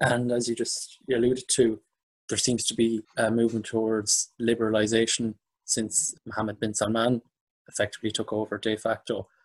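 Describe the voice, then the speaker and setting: In an Irish accent, a man of medium pitch speaks at a moderate pace with monotone, flat intonation in a dry, close sound with no echo. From Ireland. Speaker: podcast host. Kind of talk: interview.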